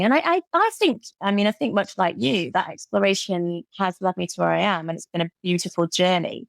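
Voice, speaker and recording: A woman with a British accent talks at a fairly quick pace with hardly any pauses. The sound is dry and close with no echo, and the recording is very clean with a silent background. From Britain. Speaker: occupational therapist and burnout coach. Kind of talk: podcast interview.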